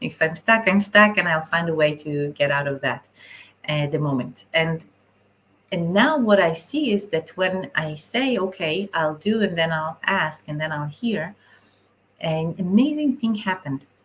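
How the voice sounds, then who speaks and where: A woman with an Israeli accent speaks fairly slowly at a fairly low pitch, her intonation lively. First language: Hebrew. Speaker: spiritual channeler. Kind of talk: live stream talk. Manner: halting.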